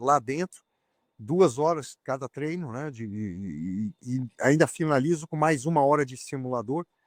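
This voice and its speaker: A man with an unremarkable speaking voice talks fairly slowly at a fairly high pitch with lively intonation, in a dry, close recording with no echo that is very clean and has a silent background. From Brazil. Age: 60s. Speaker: racing driver. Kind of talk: interview.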